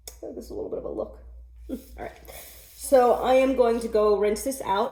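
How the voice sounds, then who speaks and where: A woman with an American accent at a moderate pace, ordinary pitch variation, and noticeable background noise. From New York. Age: 30s. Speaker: natural hair vlogger. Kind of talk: casual talk to camera.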